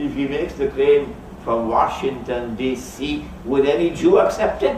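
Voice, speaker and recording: A man speaks at a moderate pace. Room echo is audible and background noise is noticeable. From Trinidad. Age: 70s. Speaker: Islamic scholar. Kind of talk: lecture.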